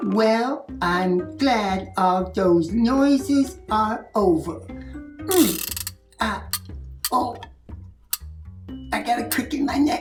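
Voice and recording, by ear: Over faint background music, a man does a high-pitched, put-on character voice at a very slow pace.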